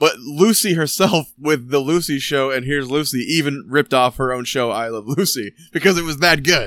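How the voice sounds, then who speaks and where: A plain, everyday voice with an American accent moves at a moderate pace. There are hardly any pauses and ordinary pitch variation. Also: man, fairly high pitch for a man. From Michigan. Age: 30s. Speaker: podcast host. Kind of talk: casual chat.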